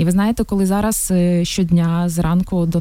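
Through noticeable background noise, a woman speaks with a Russian accent. Her pitch is fairly low and her intonation monotone and flat. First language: Russian (speaking Ukrainian). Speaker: city council member and entrepreneur. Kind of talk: radio interview, testimony. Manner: halting, with repetitions.

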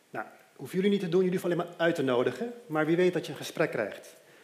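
A man's fairly high-pitched voice with audible room echo and noticeable background noise. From Aruba. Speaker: lay preacher. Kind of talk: sermon.

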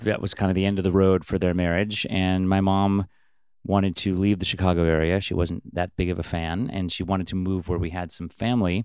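With an American accent, a man with a very deep, low voice speaks fairly quickly in a monotone, flat intonation on a very clean recording with a silent background. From Washington state (Bellingham). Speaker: indie rock musician. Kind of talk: casual interview. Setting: guest room in a private house.

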